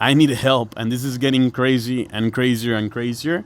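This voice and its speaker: A man talks at a fairly quick pace with a slight Mexican accent. His voice sits at a medium pitch. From northern Mexico, Piedras Negras. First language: Spanish. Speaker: food truck owner and DJ. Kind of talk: casual podcast chat.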